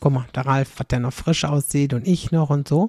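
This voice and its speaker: The voice is dark and mellow in tone and somewhat breathy. It moves at a moderate pace, with a dry, close sound and no echo. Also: woman. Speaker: podcaster. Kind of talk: casual monologue. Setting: home kitchen, late at night. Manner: chatty, lots of fillers.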